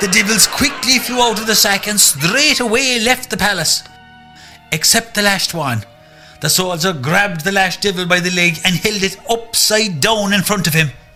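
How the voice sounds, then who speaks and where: With music in the background, a man speaks in a raised, projected voice at a high pitch, a moderate pace and ordinary pitch variation. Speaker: narrator. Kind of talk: folk tale storytelling for radio.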